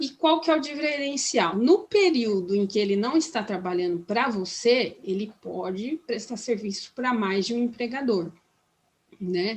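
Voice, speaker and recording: The voice belongs to a woman with a fairly high pitch. Her intonation is lively. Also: fairly slow pace. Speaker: labor law trainer. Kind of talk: training workshop lecture. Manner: halting, many fillers and restarts.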